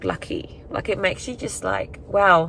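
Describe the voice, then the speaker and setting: There is noticeable background noise behind this woman. Her intonation is lively. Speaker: lifestyle vlogger. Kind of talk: casual vlog monologue. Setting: in a car. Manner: rambling, hesitant with fillers.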